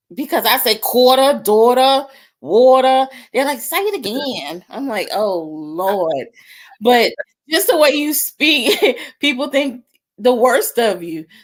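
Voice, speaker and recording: Speaking at a very slow pace, a woman with an American accent makes very wide pitch swings. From New York. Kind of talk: casual interview chat.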